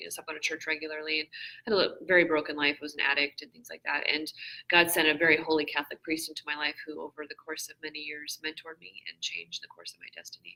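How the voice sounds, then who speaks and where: The tone is bright and sharp, delivered at a very fast pace. The intonation stays monotone and flat. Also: woman. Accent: American. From Washington state, US. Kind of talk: casual interview. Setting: conference booth, live stream.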